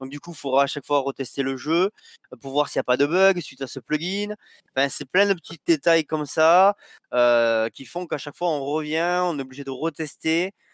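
A man speaks in a normal speaking voice at a fairly high pitch and a moderate pace, with ordinary pitch variation. His loudness swings widely in a dry, close sound with no echo. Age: 30s. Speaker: indie game developer. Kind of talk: casual interview.

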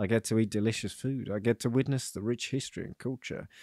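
On a very clean recording with a silent background and a dry, close sound with no echo, a man speaks at a medium pitch in an unremarkable speaking voice. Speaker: podcast co-host, freelancer. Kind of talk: casual banter chat, comedic.

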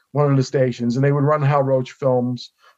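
This is a man speaking. He has a New York accent. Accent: New York area American. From northern New Jersey. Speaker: film expert guest. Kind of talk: casual interview discussion.

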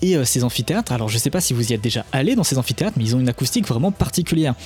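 Over music in the background, a man talks at a very fast pace with lively intonation and a medium pitch. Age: 20s. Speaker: podcast host, sound technology educator. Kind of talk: casual educational podcast chat. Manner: halting, with stammers and repetitions.

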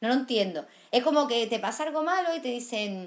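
A woman talks at a fairly quick pace in an animated tone, with ordinary pitch variation. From Andalusia. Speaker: actress. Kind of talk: casual chat.

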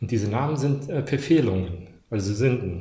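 A man with a medium-pitched, somewhat breathy voice speaks at a moderate pace amid audible room echo. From Germany, moved from Bosnia-Herzegovina as child. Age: 40s. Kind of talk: casual chat. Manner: halting.

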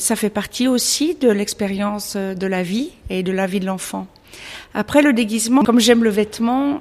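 At a fairly slow pace, a woman speaks in an unremarkable speaking voice at a medium pitch. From Switzerland. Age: 50s. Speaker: illustrator. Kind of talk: interview.

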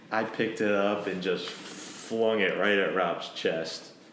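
Very slowly and with fairly even intonation, a man with a fairly low pitch talks over noticeable background noise. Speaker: host's brother.

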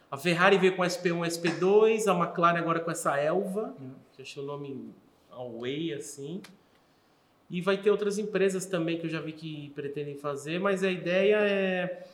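In a room with audible echo and noticeable background noise, a man with a high voice speaks at a fairly slow pace, showing ordinary pitch variation and big swings in loudness. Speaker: podcast host. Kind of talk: casual chat.

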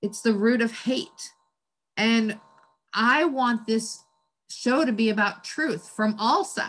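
A woman speaks in an ordinary speaking voice. Her pitch is fairly high with ordinary variation. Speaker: podcast host. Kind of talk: podcast conversation.

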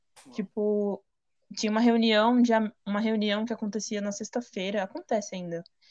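A woman with an unremarkable speaking voice talks at a moderate pace, her fairly high pitch held in fairly even intonation. Her loudness swings widely, and the sound is dry and close with no echo. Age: 20s. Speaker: visual artist sharing testimony. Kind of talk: testimony. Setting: video call.

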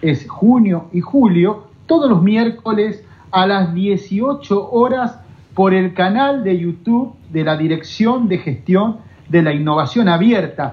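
Using lively intonation, a man with a high pitch speaks at a very slow pace. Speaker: radio host. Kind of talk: interview.

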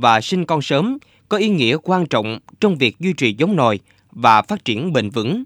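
On a very clean recording with a silent background and a dry, close sound with no echo, a man with a fairly high voice talks at a fairly slow pace with very wide pitch swings. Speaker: radio host. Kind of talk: scripted narration. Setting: studio. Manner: formal.

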